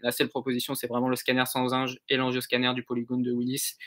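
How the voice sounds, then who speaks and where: A man's bright, sharp voice in monotone, flat intonation against a quiet background. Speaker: medical intern lecturer, neuro and ENT imaging; medical intern lecturer. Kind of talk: online lecture. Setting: live stream video call. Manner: fast. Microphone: webcam.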